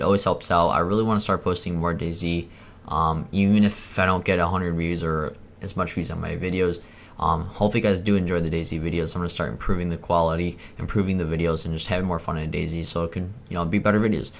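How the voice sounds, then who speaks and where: A man's very deep, low voice, very fast, with fairly even intonation. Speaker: gaming YouTuber. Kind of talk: gameplay commentary intro. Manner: casual, hesitant.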